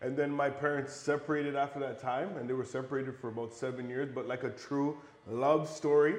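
A man with an American accent speaks fairly quickly at a fairly high pitch, his intonation fairly even. Noticeable background noise and audible room echo fill the recording. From Buffalo, New York, US. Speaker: real estate developer and investor. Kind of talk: podcast interview. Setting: at his home.

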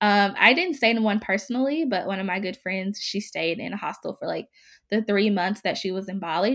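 At a fairly quick pace, a woman with an American accent and medium pitch uses an ordinary speaking voice with ordinary pitch variation on a very clean recording with a silent background. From US South, Mississippi. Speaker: blogger. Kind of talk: casual interview.

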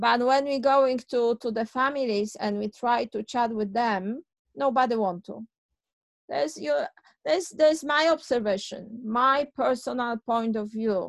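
A woman with a Polish accent speaks fairly slowly at a fairly high pitch, the sound dry and close with no echo. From Poland. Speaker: childcare owner and author. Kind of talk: interview.

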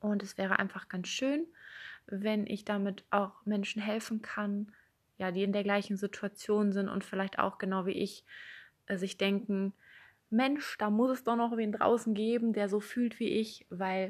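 An ordinary speaking voice moves at a fairly slow pace over a quiet background. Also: woman. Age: 20s. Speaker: podcast host. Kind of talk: personal monologue.

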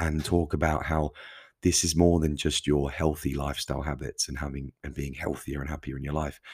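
A man's very deep, low voice with vocal fry and ordinary pitch variation, at a very fast pace, on a very clean recording with a silent background. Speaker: podcast host. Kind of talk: solo monologue talk. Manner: casual, conversational; self-corrects, occasionally stumbles.

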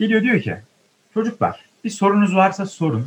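A man talks with vocal fry. His pace is fairly quick. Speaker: theatre student podcaster. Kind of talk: casual chat. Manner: animated.

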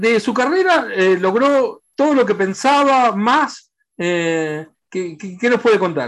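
Very slow talking over a silent background in a very clean recording. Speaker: sports journalist. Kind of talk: interview. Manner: halting.

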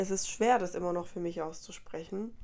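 A woman speaks in a dark, mellow tone. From Colombia, moved to Germany as a child. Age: 20s. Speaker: podcast host. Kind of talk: casual monologue. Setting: recorded late at night. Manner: animated.

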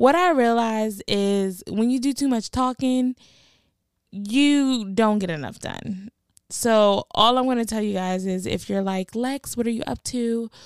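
In a very clean recording with a silent background and a dry, close sound with no echo, a woman speaks at a fairly slow pace. Her fairly high voice has an animated tone and ordinary pitch variation. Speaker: podcast host. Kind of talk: casual monologue. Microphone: new podcast mic and recording device.

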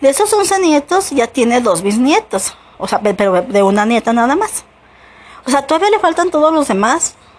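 The pitch swings very widely. There is noticeable background noise. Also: woman, high pitch for a woman, moderate pace. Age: 40s. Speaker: podcaster. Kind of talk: personal monologue. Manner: halting.

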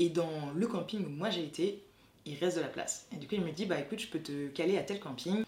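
Speech moves at a fairly quick pace with ordinary pitch variation over noticeable background noise. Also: woman, fairly low pitch for a woman. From France. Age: 20s. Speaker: graduate student. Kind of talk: testimony.

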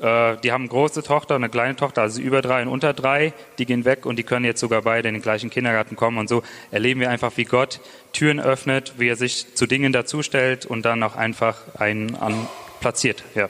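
Monotone and flat, a man's medium-pitched voice races along at a very fast pace. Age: 20s. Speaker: church planter. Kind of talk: testimony. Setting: church.

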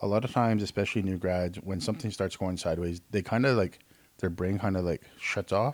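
A man speaks at a fairly quick pace in a Canadian accent. His pitch varies in an ordinary way. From Canada. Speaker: nurse and nursing instructor. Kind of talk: casual chat.

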